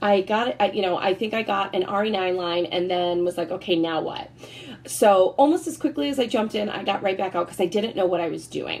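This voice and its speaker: A woman's medium-pitched voice moves at a fairly quick pace, animated in tone, with ordinary pitch variation. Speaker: network marketing consultant. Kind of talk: sales presentation. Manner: fast.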